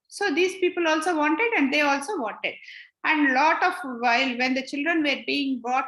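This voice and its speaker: A high-pitched woman with a bright, sharp tone talks at a moderate pace with lively intonation amid audible room echo. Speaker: spiritual teacher. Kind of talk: lecture. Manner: halting.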